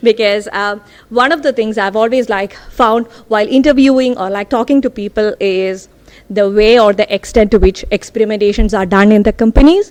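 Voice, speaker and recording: A woman talks at a fairly quick pace with ordinary pitch variation. Her pitch sits fairly high. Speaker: data scientist. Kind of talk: tech talk. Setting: stage with audience. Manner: loud.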